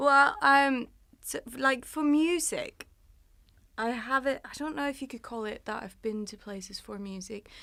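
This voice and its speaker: A woman speaks in a raised, projected voice at a high pitch, with a bright, sharp tone and lively intonation at a fairly slow pace. Her loudness swings widely, and the recording is very clean with a silent background. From Denmark. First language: Danish. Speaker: singer-songwriter. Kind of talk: interview.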